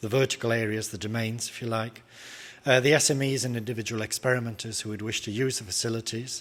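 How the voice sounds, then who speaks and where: A man's medium-pitched voice with a British accent. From Britain. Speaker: academic researcher. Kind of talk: conference presentation. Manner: hesitant, many filler sounds.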